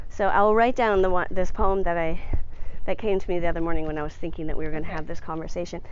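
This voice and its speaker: A woman talks very fast at a fairly low pitch with fairly even intonation. Audible room echo surrounds her voice. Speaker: poet. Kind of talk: casual interview while walking. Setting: outdoors, walking uphill.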